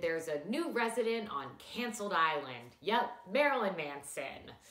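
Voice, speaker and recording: Fairly slow female speech with noticeable echo from the room. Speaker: comedy news host. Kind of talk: satirical news monologue. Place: home room.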